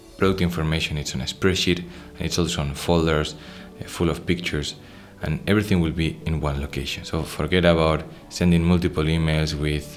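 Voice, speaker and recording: Soft-spoken and monotone, a man with a very deep, low voice and a Spanish accent talks at a fairly quick pace, with music in the background. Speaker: software product presenter. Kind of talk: software tutorial screen walkthrough.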